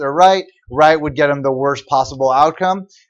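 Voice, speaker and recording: Fairly high for a man, this unremarkable speaking voice moves at a moderate pace. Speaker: university economics lecturer. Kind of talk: lecture.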